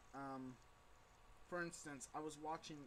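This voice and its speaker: The man speaks at a fairly slow pace. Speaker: intern pastor and vlogger. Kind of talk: casual video blog. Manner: slightly slurred speech; hesitant, many fillers. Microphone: poor, unedited webcam audio.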